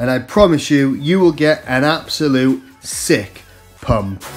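A man's voice with ordinary pitch variation and music in the background. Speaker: fitness vlogger. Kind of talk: casual vlog narration.

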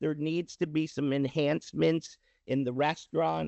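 Using a normal speaking voice, a man keeps a moderate pace, his pitch fairly high and its variation ordinary. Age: 60s. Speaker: prospective business owner presenting to board. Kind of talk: public meeting presentation.

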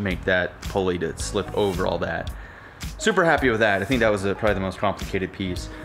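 Clear music plays in the background as a man speaks in a fairly low pitch. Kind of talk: tutorial. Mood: relaxed, pleased. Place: workshop. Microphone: phone near.

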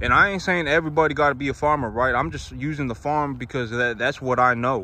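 At a moderate pace, a man speaks in a bright, sharp tone with ordinary pitch variation, and the sound is dry with no echo. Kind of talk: casual vlog chat. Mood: earnest, reflective. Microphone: phone near.

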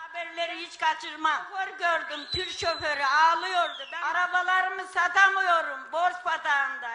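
A raised, projected voice with a bright, sharp tone moves at a fairly slow pace with ordinary pitch variation. Noticeable background noise sits behind it. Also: woman. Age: 70s. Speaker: elderly supporter at rally. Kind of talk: political rally speech. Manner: emotional, impassioned. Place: stage. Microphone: handheld.

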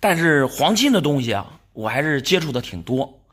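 A man speaks at a fairly slow pace, his fairly high pitch swinging very widely. The recording is very clean, with a silent background. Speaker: silver and antiques appraiser and dealer. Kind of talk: casual appraisal chat with customers. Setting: shop, face to face with sellers. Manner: animated, exclamatory.

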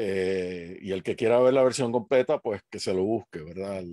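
Moderate-paced speech from a man with a fairly low pitch, ordinary pitch variation and a dark, mellow tone, dry with no echo against a quiet background. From Puerto Rico. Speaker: history professor. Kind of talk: panel discussion. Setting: video call. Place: home room. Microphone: headset.

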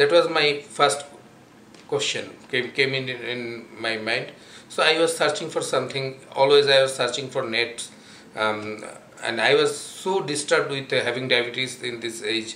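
Light background noise and audible room echo accompany a man talking at a fairly slow pace with ordinary pitch variation. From Bangladesh. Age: 40s. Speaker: patient giving testimonial. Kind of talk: testimonial. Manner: halting, many fillers. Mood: calm, earnest. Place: home room. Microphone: camera far.

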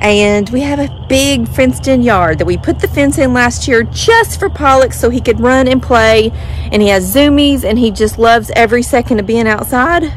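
Music plays in the background as the voice moves at a moderate pace in a dry recording with no echo. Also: woman. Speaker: dog owner vlogger. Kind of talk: casual vlog chat. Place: garden. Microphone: phone near.

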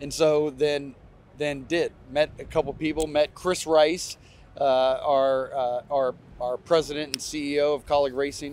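Against light background noise, a man with an American accent speaks at a fairly high pitch, the sound dry with no echo. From US Midwest (Ohio). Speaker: racing team owner and businessman. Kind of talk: interview. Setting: outdoors at a race track. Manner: casual, many fillers. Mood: relaxed, reflective storytelling. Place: stadium.

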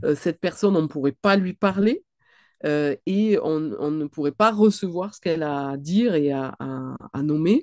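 A woman's very deep, low voice with lively intonation at a fairly slow pace. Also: quiet background. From southwestern France. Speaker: clinical psychologist and author; guest. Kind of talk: online book talk. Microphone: webcam.

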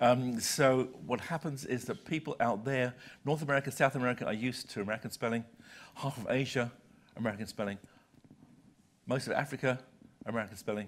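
A man with a British accent at a very fast pace, medium pitch and ordinary pitch variation, long frequent pauses, light background noise. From Britain. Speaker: senior journal publisher; visiting publisher lecturer. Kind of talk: lecture. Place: hall.

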